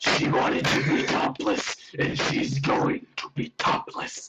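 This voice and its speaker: A man's growling, put-on character voice at a fairly slow pace. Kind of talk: comic overacting. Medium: read story. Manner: pompous, preachy.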